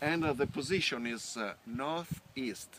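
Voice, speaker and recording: The speaker is a man with an Italian accent. He talks fairly slowly at a medium pitch. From northern Italy. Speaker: winemaker. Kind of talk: guided tour explanation. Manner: halting, many fillers.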